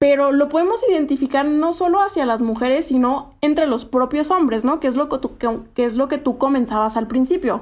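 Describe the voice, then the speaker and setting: A woman's high voice at a fairly quick pace, hardly any pauses, ordinary pitch variation and very even loudness. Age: 20s. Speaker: podcast co-host, development consultant. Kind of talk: casual chat.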